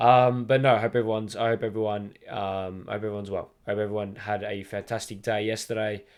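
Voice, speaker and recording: A man with an Australian accent speaks at a very fast pace, with hardly any pauses. His fairly low voice stays in a flat monotone over a quiet background. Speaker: football podcast host. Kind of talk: solo podcast monologue. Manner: halting, many fillers.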